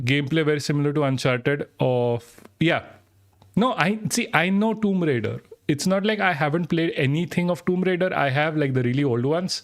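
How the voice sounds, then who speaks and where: Fairly high in pitch for a man, this speaker talks at a fairly quick pace in an Indian accent. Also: lively intonation, very even loudness. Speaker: streamer. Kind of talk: live stream chat. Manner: halting, many false starts.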